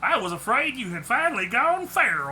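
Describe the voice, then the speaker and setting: Delivered at a moderate pace, this put-on character voice swings very widely in pitch, with clear background noise behind it. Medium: read story. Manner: pleasant, easygoing.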